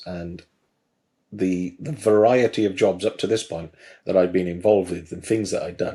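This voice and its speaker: This man speaks fairly slowly with a slight Welsh accent. His fairly low voice has a dark, mellow tone. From South Wales. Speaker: garage business trainer, former mechanic. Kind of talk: podcast interview. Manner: hesitant, many fillers.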